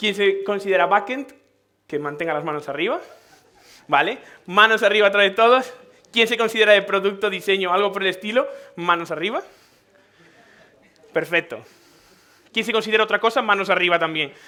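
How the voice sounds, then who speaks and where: Speaking in a Galician accent, a man with a high pitch talks in an animated tone at a fairly quick pace, with ordinary pitch variation and long, frequent pauses. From Galicia, Spain. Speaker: tech conference speaker. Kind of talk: conference talk. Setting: stage with audience. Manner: animated, conversational.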